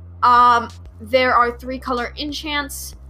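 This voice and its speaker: A woman's voice with music in the background. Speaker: solo podcast host reviewing card game sets. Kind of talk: solo podcast monologue. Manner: hesitant, many fillers.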